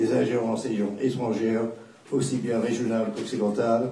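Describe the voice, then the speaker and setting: A man with a non-native accent, in a room with audible echo. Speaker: war correspondent. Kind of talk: panel talk.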